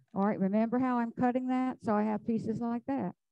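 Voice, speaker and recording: In an American accent, a woman speaks with a dark, mellow tone, the sound dry and close with no echo. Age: 70s. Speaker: flower arranging instructor. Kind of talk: live demonstration. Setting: club hall with live audience and zoom. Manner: chatty, animated.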